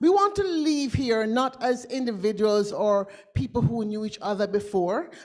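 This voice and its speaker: Animated woman's voice, fairly high in pitch, with a Jamaican accent over noticeable background noise. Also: lively intonation, moderate pace. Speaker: futurist. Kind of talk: conference talk with audience exercise.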